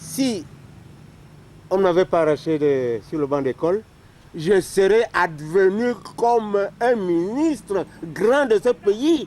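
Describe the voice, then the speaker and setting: A high-pitched man talks very slowly, with long, frequent pauses and very wide pitch swings. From Cameroon. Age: 70s. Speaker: war veteran. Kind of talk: interview. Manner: halting.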